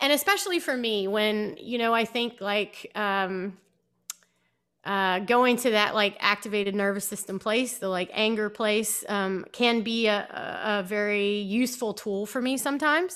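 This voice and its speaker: The speaker has an unremarkable speaking voice with an American accent, fairly even intonation and a moderate pace. The recording is very clean, with a silent background. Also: woman, fairly high pitch for a woman. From US South (South Georgia, then Virginia Beach). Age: 30s. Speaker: yoga teacher. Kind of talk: casual interview.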